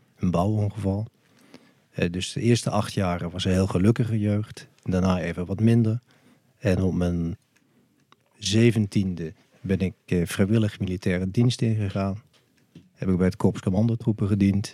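A man's fairly low, dark, mellow voice at a moderate pace, fairly even in intonation, with long, frequent pauses. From Netherlands, Limburg (Maastricht). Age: 50s. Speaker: cannabis lawyer. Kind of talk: podcast interview.

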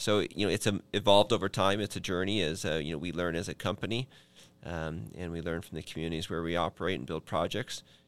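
With an Upper Midwest accent, a man with a very deep, low pitch talks at a very fast pace with ordinary pitch variation, on a very clean recording with a silent background. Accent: Upper Midwest (Minnesota). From Minnesota. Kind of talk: podcast interview. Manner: hesitant, many fillers.

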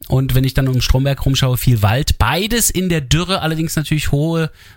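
A man talks at a fairly quick pace, somewhat breathy. The recording is very clean with a silent background. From Germany, half east half west. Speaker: radio host. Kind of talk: radio interview.

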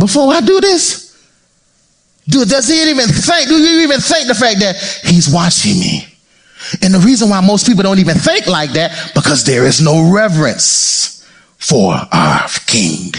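A high-pitched man speaks at a moderate pace with long, frequent pauses and very wide pitch swings. His loudness stays very even, and the room echo is audible. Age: 40s. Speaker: pastor. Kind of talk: sermon. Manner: animated.

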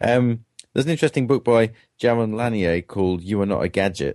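In a British accent, a man speaks at a fairly quick pace with a dark, mellow tone and ordinary pitch variation, in a dry, close sound with no echo against a quiet background. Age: 40s. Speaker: professor. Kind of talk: interview.

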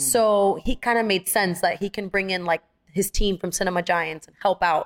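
A woman speaks at a medium pitch in an animated tone with ordinary pitch variation. The sound is dry and close, with no echo. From Miami, Dominican American family. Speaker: actress and singer. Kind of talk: casual interview chat. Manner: fast talker.

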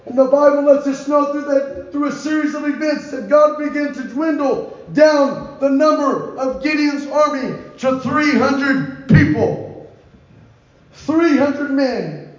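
A man's extremely high pitch at a very slow pace, fairly even in intonation, with noticeable background noise. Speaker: Bible teacher. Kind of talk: sermon.

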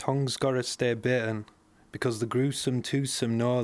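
With a West Yorkshire accent, a man at medium pitch talks at a moderate pace in a very clean recording with a silent background. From West Yorkshire, Bradford. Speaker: short story writer. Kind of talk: reading aloud.

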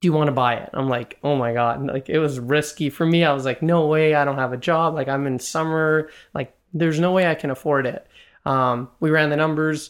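Heard in a very clean recording with a silent background, a man with a Canadian accent and an ordinary speaking voice talks fairly quickly at a fairly high pitch, his intonation fairly even. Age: 20s. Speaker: real estate investor and commercial banker. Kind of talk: interview conversation.

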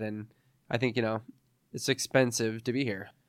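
A plain, everyday voice from a man, medium in pitch with fairly even intonation, at a fairly quick pace, on a very clean recording with a silent background. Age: 30s. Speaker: music promoter. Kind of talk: interview.

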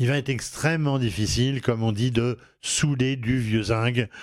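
Fairly even in intonation, a man with a regional French accent speaks at a fairly slow pace. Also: very clean recording, silent background. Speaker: home improvement radio host. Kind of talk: radio show presentation. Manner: hesitant, many filler sounds.

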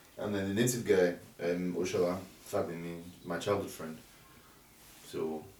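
A man with a Nigerian accent speaks at a moderate pace in a very deep, low pitch, with fairly even intonation. Long, frequent pauses break up his speech, and audible room echo surrounds it. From Nigeria, Ogun State. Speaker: music producer. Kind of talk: casual interview.

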